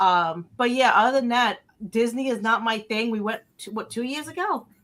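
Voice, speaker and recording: A woman speaks at a moderate pace with a New Jersey accent. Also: fairly high pitch for a woman, ordinary pitch variation. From North Jersey, US. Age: 30s. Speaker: podcast panelist. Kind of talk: casual chat.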